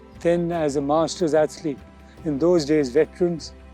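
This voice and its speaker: Music plays in the background as a man with a fairly high pitch speaks at a fairly slow pace with fairly even intonation. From India. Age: 70s. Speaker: teacher and masters athlete. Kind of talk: interview answer.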